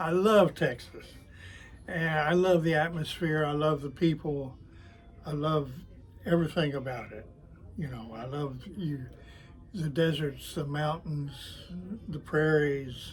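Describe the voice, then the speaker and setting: A man with an American accent speaks at a fairly high pitch in a somewhat breathy voice. His loudness swings widely, with long, frequent pauses. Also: ordinary pitch variation. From Oklahoma City area, US. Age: 80s+. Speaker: retiree and toy glider maker. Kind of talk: interview. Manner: halting, many fillers.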